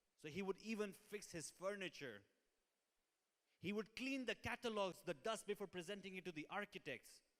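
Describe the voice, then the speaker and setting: Heard in a dry, close sound with no echo, a man with a high pitch speaks at a moderate pace with ordinary pitch variation. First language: Hindi/Urdu. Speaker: sales trainer. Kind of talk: training talk. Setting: showroom with audience.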